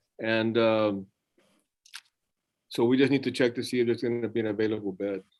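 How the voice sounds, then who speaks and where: An American-accented man at a medium pitch, monotone and flat, at a fairly quick pace. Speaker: defense attorney. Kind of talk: court hearing. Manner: loud.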